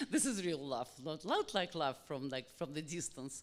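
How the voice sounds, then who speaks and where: This speaker has a Russian accent. The pace is fairly slow. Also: woman. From Russia, Saint Petersburg. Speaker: publisher. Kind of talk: audience question at book event. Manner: halting. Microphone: held too far from mouth.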